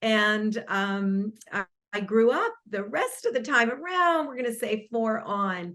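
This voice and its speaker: A woman speaks at a very slow pace in a bright, sharp tone. Her pitch is fairly high and her intonation lively. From Los Angeles and Argentina. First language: Spanish. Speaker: marriage and family therapist, author. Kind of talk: interview. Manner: hesitant, many fillers.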